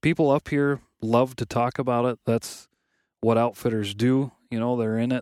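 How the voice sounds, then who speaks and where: A man's plain, everyday voice at medium pitch, with an American accent, fairly even intonation and a moderate pace, on a very clean recording with a silent background and a dry, close sound with no echo. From West Michigan. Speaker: outdoorsman and podcast co-founder. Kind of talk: casual chat. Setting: outdoors at a wilderness campsite.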